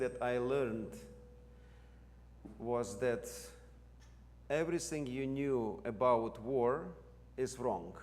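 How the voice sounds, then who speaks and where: With a Ukrainian accent, a man of medium pitch speaks at a very slow pace with long, frequent pauses and audible room echo. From Ukraine. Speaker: seminary president and theologian. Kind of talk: lecture.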